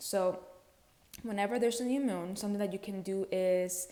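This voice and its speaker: A woman with a non-native accent speaks in a dark, mellow tone. Her pitch is medium, with ordinary variation. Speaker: spiritual content creator. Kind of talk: casual spiritual talk to camera. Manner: casual, conversational with fillers.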